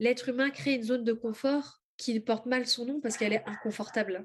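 This woman's high-pitched voice moves at a fairly quick pace, its pitch varying in an ordinary way. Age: 30s. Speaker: spiritual author and oracle creator. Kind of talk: interview testimony.

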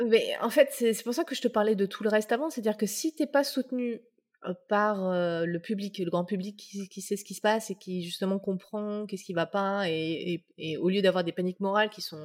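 Speaking at a moderate pace and medium pitch, a woman shows ordinary pitch variation and big swings in loudness on a very clean recording with a silent background. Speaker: UX consultant and author. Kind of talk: interview. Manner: halting.

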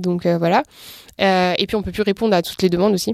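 In a very clean recording with a silent background and a dry, close sound free of echo, a woman speaks at a very fast pace with fairly even intonation. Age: 20s. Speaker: entrepreneur. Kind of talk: interview.

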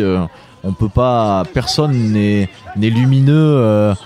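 Noticeable background noise accompanies a man's speech throughout. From France, Drôme. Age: 20s. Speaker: author and event organiser. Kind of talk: interview. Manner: hesitant, with repetitions.

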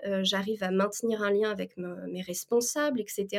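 A woman with an unremarkable speaking voice at medium pitch talks at a moderate pace. The recording is very clean, with a silent background. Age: 30s. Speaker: freelance administrative assistant. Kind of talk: interview.

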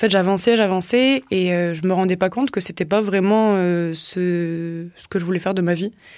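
Fairly quick and fairly even in intonation, an ordinary speaking voice carries on. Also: woman. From southwest France, Tarn. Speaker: social enterprise co-founder. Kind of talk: casual interview. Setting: studio.

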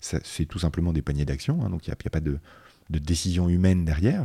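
A man's very deep, low pitch with ordinary pitch variation, a dark, mellow tone, somewhat breathy, in a dry, close sound with no echo. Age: 30s. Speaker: finance executive. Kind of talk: interview.

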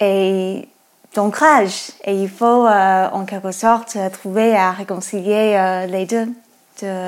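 A woman with an American accent talks at a very slow pace with fairly even intonation. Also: medium pitch for a woman. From United States. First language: English (speaking French). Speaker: podcast co-host. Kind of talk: interview.

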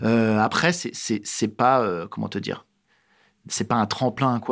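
This man has an ordinary speaking voice, medium in pitch, with fairly even intonation and a fairly slow pace. The recording is very clean, and the background is silent. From France, Alsace (Strasbourg). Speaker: actor and screenwriter. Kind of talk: casual interview. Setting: improvised studio in a neighbourhood.

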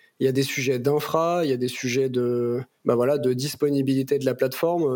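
A man talks with monotone, flat intonation. Noticeable background noise runs behind him. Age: 30s. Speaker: tech executive (CTO). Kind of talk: casual interview.

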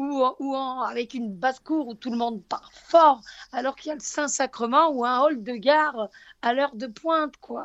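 With a southern French accent, the speaker goes at a moderate pace, showing ordinary pitch variation and big swings in loudness. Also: woman, high pitch for a woman. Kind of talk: religious talk radio.

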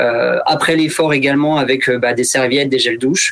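A man with a plain, everyday voice, moderate pace and fairly even intonation. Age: 30s. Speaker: retail store manager. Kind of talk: radio interview.

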